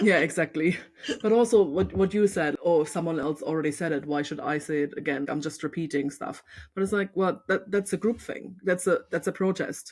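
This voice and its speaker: A woman's fairly low voice with a German accent at a fairly quick pace, ordinary pitch variation, and a very clean recording with a silent background. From East Germany. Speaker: photographer and podcast host. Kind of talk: casual chat.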